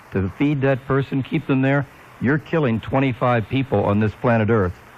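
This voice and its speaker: This man talks at a moderate pace. Background noise is noticeable. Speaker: radio announcer / call-in show host. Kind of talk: talk radio audition, opinionated call-in host. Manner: conversational, opinionated, joking.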